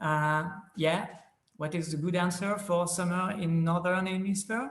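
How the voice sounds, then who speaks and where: Audible room echo surrounds a man with a French accent who speaks at a very slow pace in a high pitch with ordinary pitch variation. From France. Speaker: planetarium presenter. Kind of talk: conference presentation. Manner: halting, many filler sounds.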